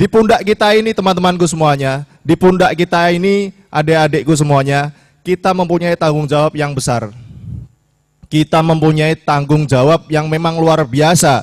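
This man's pitch is fairly high, with ordinary variation and very even loudness. He keeps a moderate pace. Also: quiet background. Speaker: student leader; speaker. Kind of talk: speech. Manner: impassioned. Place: hall. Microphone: podium.

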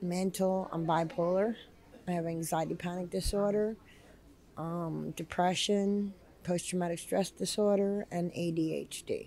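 A woman's fairly low voice with a New Jersey accent, fairly even intonation, and a fairly slow pace. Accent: New Jersey American. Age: 50s. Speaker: homeless shelter resident. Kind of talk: interview testimony. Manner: hesitant, many fillers.

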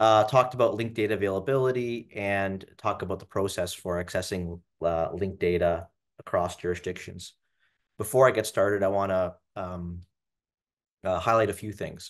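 A man with an unremarkable speaking voice, fairly low in pitch, with fairly even intonation at a moderate pace against a quiet background. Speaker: webinar presenter. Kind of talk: lecture. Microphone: webcam.

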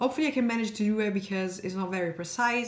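There is audible room echo around a woman speaking with ordinary pitch variation. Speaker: beauty vlogger. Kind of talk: makeup tutorial chat. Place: home room. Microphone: phone near.

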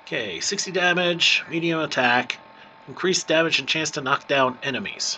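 Over noticeable background noise, a man with a fairly high pitch speaks at a moderate pace and with ordinary pitch variation. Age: middle-aged. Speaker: gaming youtuber. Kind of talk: let's play commentary. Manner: casual.

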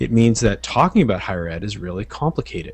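Speaking at a very fast pace, a man with fairly low pitch and vocal fry comes through in a dry sound with no echo. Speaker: guest. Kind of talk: discussion. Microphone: headset.

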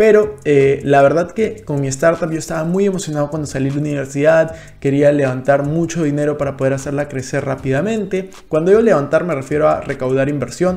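A man's dark, mellow voice, fairly high in pitch with ordinary variation, fairly quick with hardly any pauses. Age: 20s. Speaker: finance youtuber. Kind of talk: vlog monologue. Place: home room. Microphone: studio mic.

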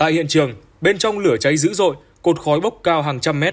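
An unremarkable speaking voice at a moderate pace. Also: man. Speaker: news presenter. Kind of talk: news reading.

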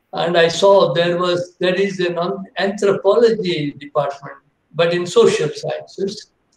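A man talks in a high voice at a fairly slow pace. His intonation is fairly even, with audible room echo. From India. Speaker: biochemist; guest lecturer, professor. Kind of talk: lecture. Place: home room. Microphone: video call.

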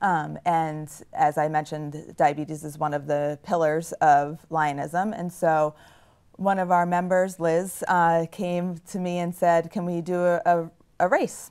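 An ordinary speaking voice with an American accent moves at a fairly slow pace with fairly even intonation over a quiet background. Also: woman, fairly low pitch for a woman. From Nashua, New Hampshire, US; New Hampshire. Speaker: service club president. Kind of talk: casual interview. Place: studio.

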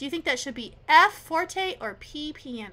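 A woman uses a raised, projected voice with a bright, sharp tone, speaking at a very slow pace with lively intonation. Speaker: piano teacher. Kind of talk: tutorial.

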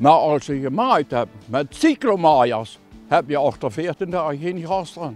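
With music in the background and a dry sound free of echo, a man speaks at a very slow pace and a fairly high pitch. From Limburg, Netherlands. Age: 80s+. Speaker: tractor owner, farmer. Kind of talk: interview answer. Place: farm machine.

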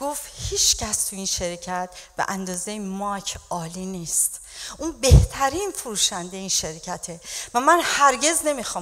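A woman speaks at a fairly slow pace with very wide pitch swings. The background is quiet. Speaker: pastor preaching. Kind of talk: sermon. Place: church. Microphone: handheld.

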